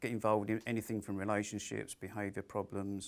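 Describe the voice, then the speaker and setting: This is a man speaking on a very clean recording with a silent background. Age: 60s. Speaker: careers personal advisor. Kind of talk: interview monologue. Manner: hesitant with fillers.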